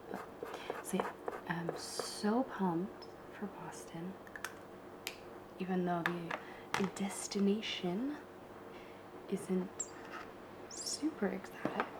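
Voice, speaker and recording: Whispering in an American accent, a woman speaks at a very slow pace in a relaxed tone. Long, frequent pauses break up her speech, and background noise is noticeable. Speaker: ASMR and travel content creator. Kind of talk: casual talk to camera, ASMR craft tutorial. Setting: home living room recording. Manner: soft-spoken, relaxed, chatty.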